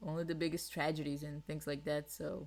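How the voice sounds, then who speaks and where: This woman has a very deep, low pitch and a Portuguese accent, talking at a moderate pace. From Brazil. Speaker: podcast co-host. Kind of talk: casual chat.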